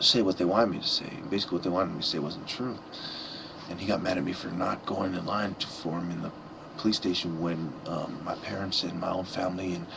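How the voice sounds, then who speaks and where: A quiet man with a very deep, low pitch talks at a very fast pace with fairly even intonation, amid audible room echo and noticeable background noise. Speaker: vlogger. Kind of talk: personal vlog monologue. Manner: halting.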